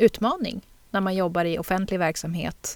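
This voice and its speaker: The speaker keeps a moderate pace with ordinary pitch variation. The recording is very clean, and the background is silent. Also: woman. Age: 30s. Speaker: podcast co-host. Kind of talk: casual chat.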